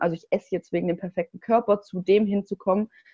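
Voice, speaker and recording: At a fairly quick pace, a woman with a medium pitch and a plain, everyday voice speaks with ordinary pitch variation. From southwest Germany, near Stuttgart. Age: 20s. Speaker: diet recovery coach. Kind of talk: interview.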